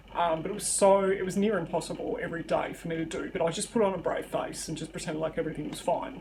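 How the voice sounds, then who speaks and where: A woman talks very fast, with hardly any pauses and ordinary pitch variation. Noticeable background noise and audible room echo fill the recording. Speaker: YouTuber. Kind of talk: personal storytelling vlog. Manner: hesitant, many fillers.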